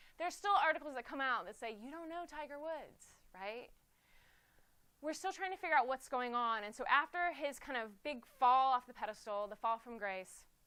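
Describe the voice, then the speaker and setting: Animated and raised, a woman projects her high-pitched voice with a bright, sharp tone. Her intonation is lively, and her loudness swings widely. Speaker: conference speaker. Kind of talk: conference talk. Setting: stage with audience. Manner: fast.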